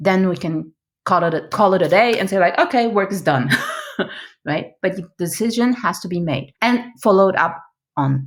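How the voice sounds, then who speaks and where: A woman at medium pitch and a moderate pace, with lively intonation and long, frequent pauses. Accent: non-native. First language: not English. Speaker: product management coach and trainer. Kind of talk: interview. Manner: halting.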